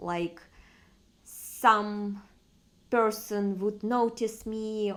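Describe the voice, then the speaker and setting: A woman with a Russian accent speaks in a medium pitch. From Far East Russia. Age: 30s. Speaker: vlogger. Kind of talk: personal vlog monologue. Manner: halting, with fillers.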